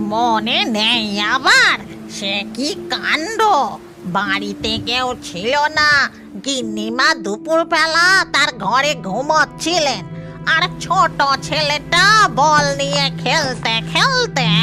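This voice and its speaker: A cartoonish character voice at a fairly high pitch moves at a very slow pace. Clear background noise is present. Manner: chatty, fussy.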